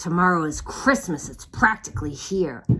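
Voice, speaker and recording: Growling put-on character voice at a middle pitch and moderate pace. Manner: snarling, sneering.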